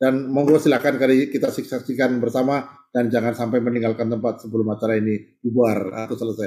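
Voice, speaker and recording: At a very fast pace with hardly any pauses, a man talks with fairly even intonation. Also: medium pitch for a man. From Central Java, Indonesia (Kebumen, Gombong). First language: Javanese (speaking Indonesian). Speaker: professor and study-group host. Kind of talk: online religious study session opening. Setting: Zoom video call. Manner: informal, with fillers and repetitions.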